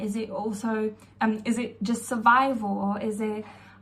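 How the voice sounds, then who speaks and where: A woman is speaking here. Her pitch is fairly high and her pace fairly slow. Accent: non-native. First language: not English. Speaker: mindset coach. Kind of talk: casual self-help talk to camera. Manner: hesitant, many fillers.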